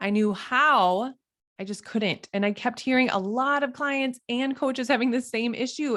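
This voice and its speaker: With a Minnesotan accent, the speaker sounds animated and uses lively intonation. The recording is very clean, and the background is silent. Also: woman. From Minnesota, US Midwest. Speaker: health and fitness coach. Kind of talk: motivational talk.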